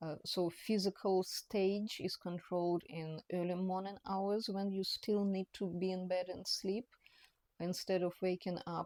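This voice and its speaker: A woman speaks fairly slowly in a dark, mellow tone. The intonation is monotone and flat, and the sound is dry and close with no echo. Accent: non-native. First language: not English. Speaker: personal trainer. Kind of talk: talking-head educational monologue. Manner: halting, many fillers and restarts.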